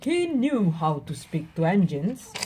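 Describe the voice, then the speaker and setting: In a put-on character voice that sounds female, the speaker keeps a middle pitch and moderate pace over clear background noise. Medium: read story. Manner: polite, gentle.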